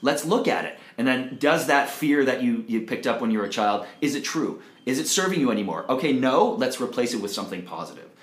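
Noticeable background noise and audible room echo surround a man speaking with lively intonation. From Canada, Toronto. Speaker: jingle writer and mindset coach. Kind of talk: casual interview chat. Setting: office.

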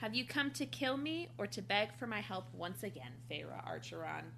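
A raspy put-on character voice at a middle pitch moves at a moderate pace over clear background noise.

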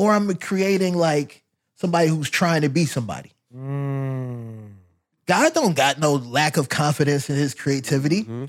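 A man with a plain, everyday voice, fairly high in pitch with ordinary pitch variation, at a moderate pace on a very clean recording with a silent background. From US, moved often; born Louisiana. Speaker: fashion and footwear designer. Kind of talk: casual interview.

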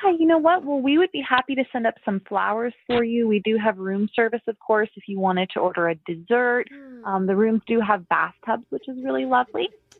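Fairly quick with hardly any pauses, a woman speaks at a fairly high pitch with very wide pitch swings. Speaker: hotel receptionist. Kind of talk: prank phone call. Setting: phone call. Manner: polite, flustered.

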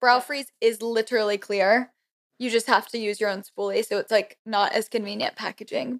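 A woman speaks with an American accent. Her voice is an unremarkable speaking voice, fairly high in pitch. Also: moderate pace. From Florida. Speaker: beauty influencer. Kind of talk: casual chat.

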